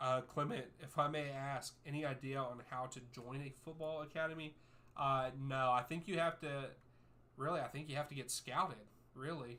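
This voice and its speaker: Using a bright, sharp tone and an American accent, a man with a fairly high pitch speaks at a moderate pace in fairly even intonation. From US, West Virginia. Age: 30s. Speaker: soccer YouTuber and streamer. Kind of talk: live watchalong chat with viewers.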